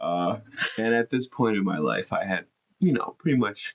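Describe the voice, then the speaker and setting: Soft-spoken, a man comes through in a dry, close sound with no echo. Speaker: host's husband. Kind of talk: casual chat. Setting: live stream.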